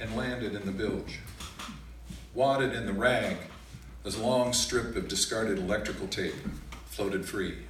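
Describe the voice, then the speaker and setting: A man at a fairly slow pace with ordinary pitch variation, light background noise and audible room echo. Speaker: poet performer. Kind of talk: reading of a prose story. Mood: calm, measured narration. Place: stage. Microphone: camera far.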